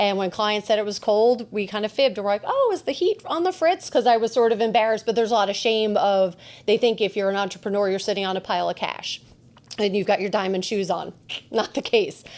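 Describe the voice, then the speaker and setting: In a New Jersey accent, a woman with a fairly high pitch and ordinary pitch variation talks at a very fast pace. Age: 40s. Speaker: podcast host and shop owner. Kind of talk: casual chat.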